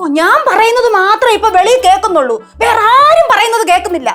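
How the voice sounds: A woman's shrill, extremely high voice with music in the background. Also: lively intonation, very even loudness.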